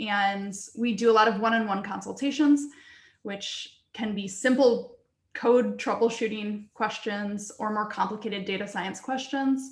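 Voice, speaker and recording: A woman talks with fairly even intonation at a fairly high pitch, somewhat breathy. Room echo is audible. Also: fairly slow pace. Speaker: research computing data services staff. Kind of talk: conference presentation. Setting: video call.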